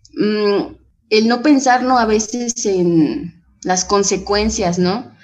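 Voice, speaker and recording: Her pitch fairly high, a woman speaks very slowly with lively intonation and very even loudness. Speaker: AA member. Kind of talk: testimony.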